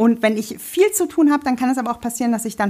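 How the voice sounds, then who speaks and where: Talking at a very fast pace, a woman uses a high pitch and lively intonation. The recording is very clean, with a silent background. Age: 30s. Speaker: sewing blogger and podcast co-host. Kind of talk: casual chat.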